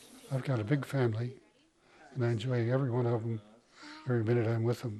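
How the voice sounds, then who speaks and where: Talking at a very fast pace, a man with an American accent keeps his medium pitch in a flat monotone. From Montana, Crow reservation. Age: 80s+. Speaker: war veteran. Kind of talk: interview. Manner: casual.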